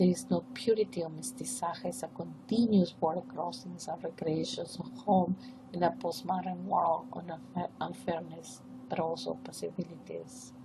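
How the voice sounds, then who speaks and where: With a Peruvian accent, the speaker talks at a moderate pace against noticeable background noise. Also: woman. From northern coast of Peru. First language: Spanish. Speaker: professor. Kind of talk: academic presentation. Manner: formal.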